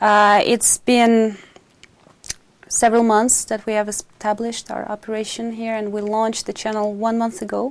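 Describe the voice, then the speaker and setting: A woman's fairly high-pitched voice in a monotone, flat intonation. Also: moderate pace. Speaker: TV channel executive. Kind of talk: interview.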